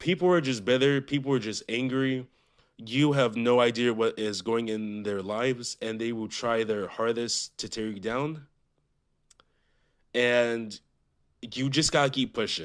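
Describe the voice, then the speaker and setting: Speaking at a fairly slow pace with long, frequent pauses, a man uses a medium pitch and ordinary pitch variation against a quiet background. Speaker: podcast host. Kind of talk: casual monologue.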